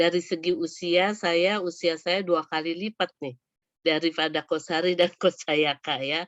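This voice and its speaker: A woman talks at a fairly slow pace in a fairly low pitch. She has a normal speaking voice. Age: 60s. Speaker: psychologist and coach. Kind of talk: webinar talk.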